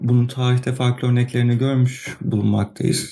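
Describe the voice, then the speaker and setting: With music in the background, a man speaks at a fairly slow pace in a monotone, flat intonation. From Turkey, Izmir. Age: 30s. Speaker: podcast host, planetary geology PhD student. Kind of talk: solo podcast monologue.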